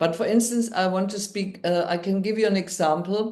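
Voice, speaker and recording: With a German accent, a woman speaks at a moderate pace in a medium pitch, her tone dark and mellow and her pitch variation ordinary, with audible room echo around her. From Germany. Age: 60s. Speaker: NLP coach and midwife. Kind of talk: interview storytelling. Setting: podcast.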